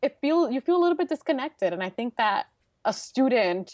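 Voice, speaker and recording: A woman speaks with a Brooklyn accent at a high pitch. The recording is very clean and dry, close with no echo, over a silent background. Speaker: transportation engineer and speaker. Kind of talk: interview conversation. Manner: casual, filler-heavy.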